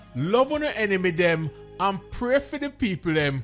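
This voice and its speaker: Music plays behind a man with a Jamaican accent. He speaks at a moderate pace with a high pitch and very wide pitch swings. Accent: Jamaican Patois. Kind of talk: scripture reading.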